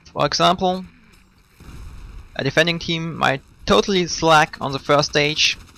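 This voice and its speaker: A man speaks in a fairly high voice with a bright, sharp tone and a non-native accent. His intonation stays fairly even. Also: dry, close sound with no echo. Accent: non-native English, trouble with th sounds. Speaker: video game commentator. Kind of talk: scripted gameplay commentary voice-over.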